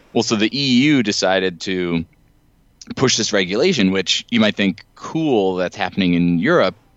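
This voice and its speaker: A man with a normal speaking voice talks at a moderate pace and a fairly low pitch. His intonation is lively and his loudness stays very even. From US East Coast and Ohio. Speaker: higher education assessment administrator. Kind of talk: casual interview.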